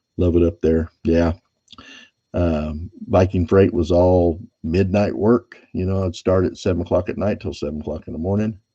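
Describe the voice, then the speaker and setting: Somewhat breathy and at a moderate pace, a man speaks with a very deep, low pitch and a dark, mellow tone. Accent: American. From California (Bakersfield, Kern County). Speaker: silver stacking YouTuber, former truck driver. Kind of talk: casual live stream chat.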